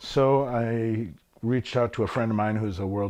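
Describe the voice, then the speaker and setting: Here a man speaks with a Midwestern American accent. His pitch variation is ordinary. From Michigan, Flint. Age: 60s. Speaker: musician. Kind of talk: interview. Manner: hesitant, filler words.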